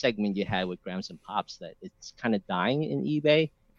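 The speaker talks at a moderate pace with an American accent and very wide pitch swings. The sound is dry and close, with no echo. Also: man. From New York. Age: 40s. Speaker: hobbyist reseller. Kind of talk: casual interview on livestream. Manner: halting.

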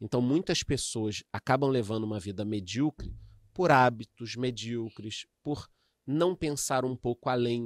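The speech moves at a fairly slow pace with ordinary pitch variation, and the sound is dry and close with no echo. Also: man, medium pitch for a man. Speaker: economist and investment influencer. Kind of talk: casual interview chat. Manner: animated.

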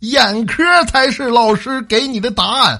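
In a raised, projected voice of extremely high pitch, a man speaks at a very slow pace. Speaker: radio host. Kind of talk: comedic monologue. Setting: studio.

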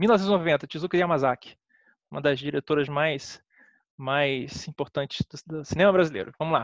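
A man with a fairly high pitch and ordinary pitch variation talks at a moderate pace, leaving long, frequent pauses. The sound is dry and close with no echo over a quiet background. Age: 30s. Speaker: film critic. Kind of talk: casual chat.

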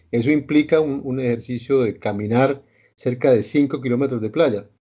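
Using a normal speaking voice, a man talks at medium pitch and a moderate pace. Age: 60s. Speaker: interview show host. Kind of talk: interview.

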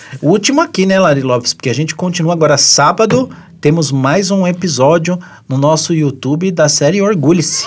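Background music accompanies this voice. The delivery is fairly quick. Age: 30s. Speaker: podcast co-host. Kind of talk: casual chat. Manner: animated.

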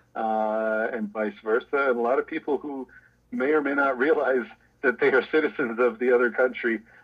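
With a Canadian accent, a man talks in a plain, everyday voice at a medium pitch and a moderate pace. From Canada, Toronto. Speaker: law professor. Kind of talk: interview.

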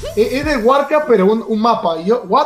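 There is noticeable background noise. Through it, a man speaks with lively intonation. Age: 20s. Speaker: streamer and esports analyst. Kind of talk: casual interview. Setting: live stream. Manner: hesitant, with many repeated words.

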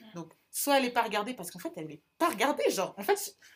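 A woman at a very fast pace with very wide pitch swings. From central France, small town. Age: 20s. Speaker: podcast co-host, student. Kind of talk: casual chat.

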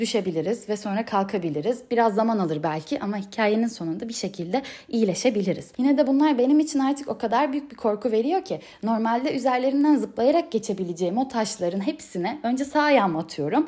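A dark, mellow tone at a fairly quick pace, with lively intonation and hardly any pauses. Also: woman. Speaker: podcaster. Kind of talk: solo monologue podcast. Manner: uneven pitch.

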